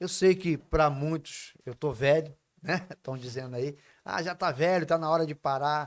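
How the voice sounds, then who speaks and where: Over a very clean recording with a silent background, a man uses a normal speaking voice, fairly high in pitch, at a moderate pace. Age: 60s. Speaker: union leader. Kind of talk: casual interview chat. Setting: recorded at host's home.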